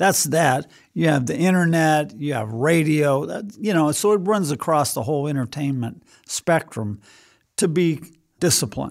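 A man with an ordinary speaking voice talks at a moderate pace, pitched fairly high with lively intonation. The recording is very clean, with a silent background. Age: 60s. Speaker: pastor. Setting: studio.

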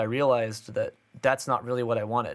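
At a fairly quick pace, a man with an unremarkable speaking voice talks at medium pitch. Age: 20s. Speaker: drummer and music instructor. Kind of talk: casual chat.

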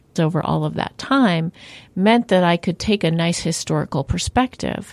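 In a dry, close recording with no echo, a woman with a plain, everyday voice speaks at a moderate pace with a fairly low pitch. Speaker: sociology professor. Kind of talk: interview answers.

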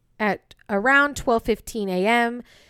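A woman speaks with an American accent. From California, Bay Area. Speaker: true crime podcast host. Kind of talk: storytelling; casual chat. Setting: at home.

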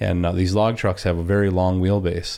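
On a very clean recording with a silent background, a man speaks. He has an Upper Peninsula Michigan accent and a fairly quick pace. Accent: Upper Peninsula Michigan (Yooper). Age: 30s. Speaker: log truck driver. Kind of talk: casual interview. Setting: studio.

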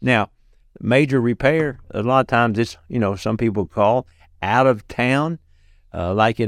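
A man with a Southern US accent talks at a moderate pace with ordinary pitch variation, in a very clean recording with a silent background and a dry, close sound with no echo. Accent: US South. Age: 60s. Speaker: clown entertainer and disaster relief volunteer. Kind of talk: interview testimony.

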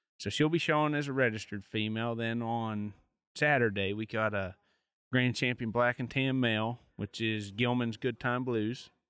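A man in an American accent, a normal speaking voice at medium pitch, fairly even intonation, moderate pace. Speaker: coonhound competitor and show exhibitor. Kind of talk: casual interview. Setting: outdoor event.

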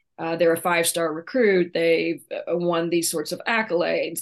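Against a quiet background, a woman talks in an unremarkable speaking voice, fairly low in pitch with ordinary variation. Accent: American. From Oklahoma, small town. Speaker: retired college basketball coach and author. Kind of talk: interview.

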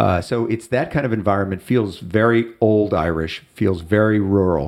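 An American-accented man speaks at a fairly slow pace in a plain, everyday voice. His intonation stays fairly even. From US Midwest, Chicago. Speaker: friend of the host. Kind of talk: casual chat.

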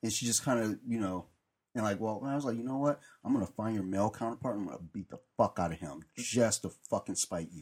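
Talking very fast, a man uses a fairly low pitch and ordinary pitch variation on a very clean recording with a silent background. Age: 40s. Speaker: podcast panelist. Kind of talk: casual chat.

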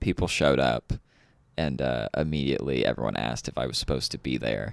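A man with a slight Kentucky accent talks at a very fast pace, his pitch very deep and low with vocal fry. The sound is dry and close, with no echo. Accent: slight Kentucky twang. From Louisville, Kentucky. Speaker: local comedian. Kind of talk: casual comedy podcast chat.

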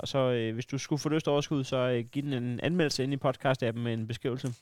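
Recorded very cleanly against a silent background, a man speaks at a medium pitch with fairly even intonation. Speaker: podcast host. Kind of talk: casual banter. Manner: rambling, halting, joking.

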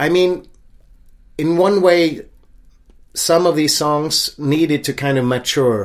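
Speaking with a Swedish accent, a man has a fairly high pitch and ordinary pitch variation. His pace is very slow. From Sweden, Stockholm suburb. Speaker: singer-songwriter. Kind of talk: casual interview. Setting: at home.

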